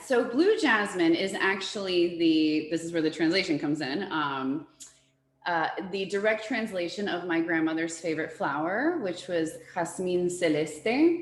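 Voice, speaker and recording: A fairly slow delivery in a Spanish accent, with ordinary pitch variation and audible room echo. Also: woman, fairly low pitch for a woman. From born in US to Uruguayan parents, Spanish-speaking home. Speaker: floral designer. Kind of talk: presentation interview. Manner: animated, enthusiastic.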